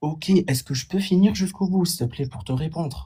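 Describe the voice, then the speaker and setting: A man speaks in a dark, mellow tone that is somewhat breathy, with very wide pitch swings. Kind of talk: heated debate. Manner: halting, repetitive.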